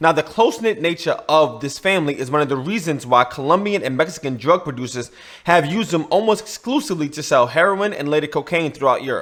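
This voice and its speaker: A man races along at a very fast pace, hardly pausing at all. His fairly high voice moves with lively intonation. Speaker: YouTube host, money laundering attorney. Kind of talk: scripted explainer video.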